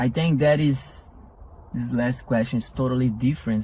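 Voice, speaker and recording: Fairly slow speech in a Portuguese accent with lively intonation. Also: man. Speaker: entrepreneur. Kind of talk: interview. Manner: halting.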